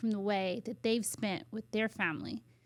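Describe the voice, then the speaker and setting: Soft-spoken, a woman with an American accent talks at a medium pitch with ordinary pitch variation. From US, Washington DC / Maryland area. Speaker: educator and children's ministry leader. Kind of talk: casual chat. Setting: studio.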